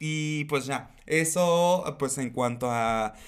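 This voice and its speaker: A man speaks with ordinary pitch variation. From Mexico, Acapulco, Guerrero. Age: 30s. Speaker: drag queen and performer. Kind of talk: casual interview.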